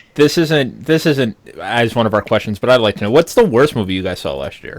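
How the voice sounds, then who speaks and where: With an American accent, a man talks at a fairly quick pace and medium pitch, his intonation lively. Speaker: podcast co-host. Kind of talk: casual chat. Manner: animated.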